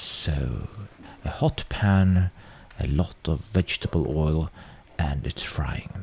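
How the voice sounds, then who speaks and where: A man with a Swedish accent speaks in a very deep, low pitch, his tone dark and mellow and somewhat breathy. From Sweden. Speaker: home cook presenting cooking videos. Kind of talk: casual commentary over old cooking footage. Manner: hesitant, many fillers and restarts.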